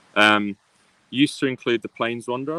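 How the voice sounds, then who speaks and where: This man speaks with an English accent at a moderate pace. The sound is dry and close, with no echo. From UK, raised mostly in Australia. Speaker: PhD student, ornithology researcher. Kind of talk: interview. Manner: halting, many fillers.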